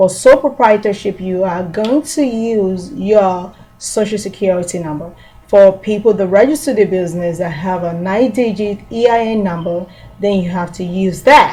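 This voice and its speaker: A woman with a normal speaking voice keeps a medium pitch, a moderate pace and ordinary pitch variation. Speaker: small business tax trainer. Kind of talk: tutorial.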